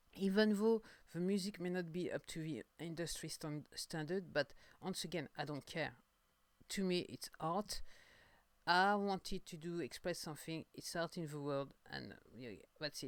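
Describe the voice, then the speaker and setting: In a strong French accent, a woman with a fairly low pitch talks at a moderate pace with ordinary pitch variation. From France. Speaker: singer-songwriter podcaster. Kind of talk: casual monologue podcast. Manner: halting, many fillers and repetitions.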